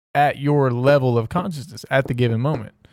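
An unremarkable speaking voice comes from a man with fairly high pitch at a moderate pace. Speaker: podcast co-host. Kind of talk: casual chat.

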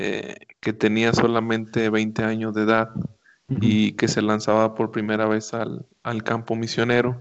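The speech moves at a fairly slow pace. Its intonation is monotone and flat. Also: man, medium pitch for a man. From northern Mexico, Monterrey. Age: 20s. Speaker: missionary pastor. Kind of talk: radio interview.

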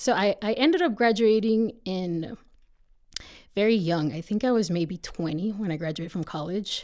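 A woman's ordinary speaking voice, medium in pitch, with lively intonation at a moderate pace. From Texas border region (born in northeast Mexico). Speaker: attorney. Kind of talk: interview.

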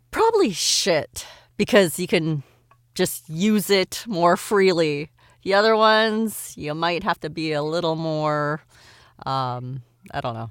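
Fairly slow speech from a woman with an unremarkable speaking voice, fairly low in pitch with lively intonation, on a very clean recording with a silent background. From Montreal, Canada. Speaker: voice actor. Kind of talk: casual podcast interview.

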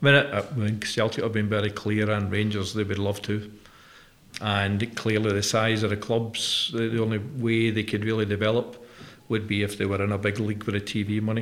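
Over noticeable background noise, a man with a Glaswegian accent speaks at a moderate pace in a fairly low voice with monotone, flat intonation. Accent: Glaswegian Scottish. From Scotland (Glasgow). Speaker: company chief executive hosting interview. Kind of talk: interview conversation. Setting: studio.

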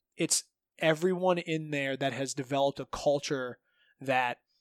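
Speaking with a Midwestern American accent, a man keeps a moderate pace and fairly even intonation. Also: dry, close sound with no echo, very clean recording, silent background. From Northeast Ohio. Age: 30s. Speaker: jiu-jitsu coach and gym owner. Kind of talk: casual chat.

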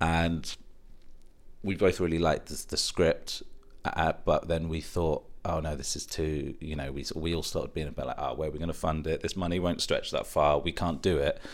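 With a southern English accent, a man speaks at a moderate pace. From England, Stevenage, partly raised in Middle East. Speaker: film producer. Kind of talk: interview conversation. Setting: in person.

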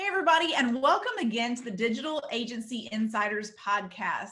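A woman speaks with an American accent in a plain, everyday voice. Her intonation is lively. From US South. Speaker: podcast host. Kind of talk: casual interview chat.

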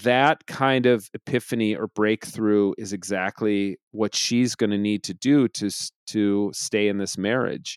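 Fairly slow delivery with fairly even intonation, in a dry, close sound with no echo and a very clean recording against a silent background. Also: man. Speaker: podcast co-host. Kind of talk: casual chat. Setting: home recording.

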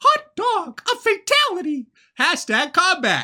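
In a put-on character voice, the speaker goes extremely high in pitch with very wide pitch swings, moving at a fairly slow pace.

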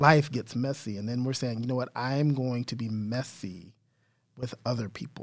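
A man with an American accent speaks in a normal speaking voice, at medium pitch and moderate pace. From Texas, San Antonio. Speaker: diversity and inclusion trainer. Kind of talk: interview.

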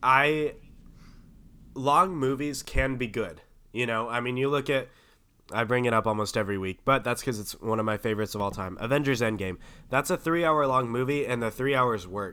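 Bright, sharp male voice at a fairly quick pace on a very clean recording with a silent background. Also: medium pitch for a man, ordinary pitch variation. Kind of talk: casual chat.

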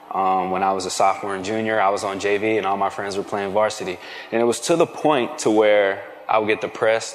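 A man at a fairly low pitch with an American accent, at a fairly quick pace and ordinary pitch variation, amid noticeable background noise. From Philadelphia area, Pennsylvania. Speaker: football player. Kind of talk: testimony.

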